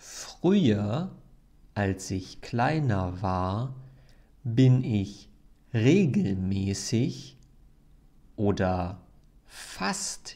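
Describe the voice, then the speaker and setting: Very slowly, a man speaks at a fairly low pitch with very wide pitch swings. Audible room echo surrounds him. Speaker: German language teacher. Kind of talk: language lesson podcast. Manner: clear, deliberate.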